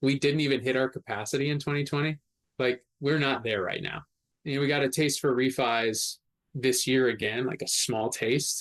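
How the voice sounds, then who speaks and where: A man at a medium pitch speaks at a moderate pace with fairly even intonation, in a dry, close sound with no echo. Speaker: loan officer. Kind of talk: podcast interview. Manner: loud.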